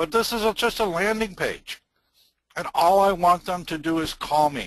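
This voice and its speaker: A man with an American accent and a high pitch talks at a moderate pace with ordinary pitch variation. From US Midwest. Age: 60s. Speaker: marketing business owner. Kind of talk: casual chat. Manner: youthful-sounding.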